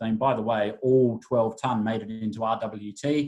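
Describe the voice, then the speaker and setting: Spoken with an Australian accent, the voice has a dark, mellow tone and fairly even intonation. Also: man. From Adelaide, Australia. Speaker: wine brand ambassador. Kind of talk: wine masterclass presentation.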